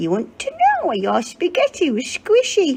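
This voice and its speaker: Squeaky and extremely high in pitch, this put-on character voice is pitched for effect. It moves at a moderate pace. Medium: read story. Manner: spiteful, gleeful.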